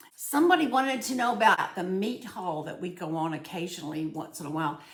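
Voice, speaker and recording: In a Southern US accent, a woman with a fairly low pitch speaks at a very fast pace with very wide pitch swings and big swings in loudness, amid audible room echo and noticeable background noise. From US South. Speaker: cooking and budgeting vlogger. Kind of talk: casual vlog, answering viewer comments. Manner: chatty, with frequent fillers and repetitions.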